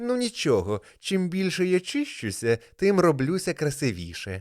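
Here a man uses a put-on character voice pitched high. He goes at a moderate pace on a very clean recording with a silent background. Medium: read story. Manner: prim, respectable.

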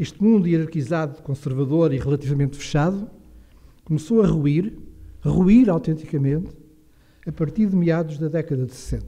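Against a quiet background, a man with a fairly high pitch and a dark, mellow tone talks at a moderate pace, with ordinary pitch variation and long, frequent pauses. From Portugal, near Caldas da Rainha; Portugal. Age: 60s. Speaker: retiring professor and historian; retiring professor. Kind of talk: lecture. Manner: formal. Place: hall. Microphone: podium.

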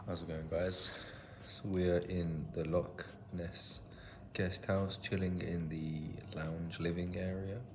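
Over noticeable background noise, a man with a very deep, low pitch talks at a very slow pace with fairly even intonation. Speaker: travel vlogger. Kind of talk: casual vlog chat. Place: home room. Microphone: phone near.

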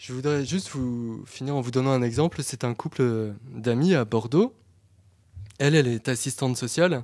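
A man at a medium pitch and moderate pace, with ordinary pitch variation against a quiet background. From France. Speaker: history lecturer. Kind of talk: conference talk. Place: hall. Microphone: podium.

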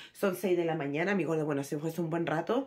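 Her delivery races along very fast. The woman's pitch rises and falls in an ordinary way. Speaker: home vlogger. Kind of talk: casual vlog chat. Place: home room. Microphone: phone near.

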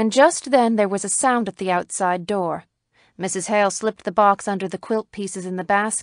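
The background stays quiet. Over it, the reading sounds natural.

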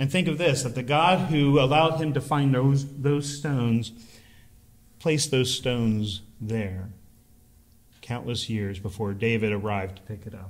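A man speaks at medium pitch, somewhat breathy, with lively intonation. His pace is fairly slow, broken by long, frequent pauses. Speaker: preacher. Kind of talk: sermon. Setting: church. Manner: emphatic, repeating key phrases for effect; conversational, warm.

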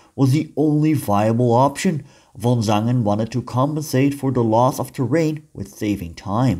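Speaking at a moderate pace with lively intonation, a man with a Dutch accent has a medium pitch and a dark, mellow tone on a very clean recording with a silent background. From Netherlands. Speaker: history teacher and YouTuber. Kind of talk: educational narration. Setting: outdoors on location.

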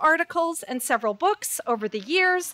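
A woman speaks at a moderate pace in a raised, projected voice with a bright, sharp tone against a quiet background. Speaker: event host introducing speaker. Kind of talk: formal speaker introduction. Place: hall. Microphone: podium.

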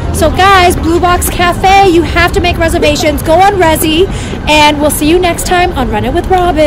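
Over clear music in the background, a woman speaks at an extremely high pitch and a moderate pace in a monotone, flat intonation, with a dry sound and no echo. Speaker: food vlogger. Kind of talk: casual vlog chat. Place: street. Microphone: phone near.

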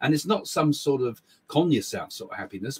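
Speaking at a fairly quick pace, the voice carries an English accent and vocal fry. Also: man. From England. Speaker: psychic medium and live show host. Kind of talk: casual live chat. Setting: live stream from small home office. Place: home room.

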